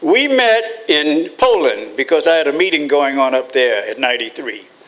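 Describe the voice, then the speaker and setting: Over noticeable background noise, the voice moves at a fairly slow pace with lively intonation. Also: man. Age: 90s. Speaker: war veteran and former ambassador. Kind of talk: speech to an audience.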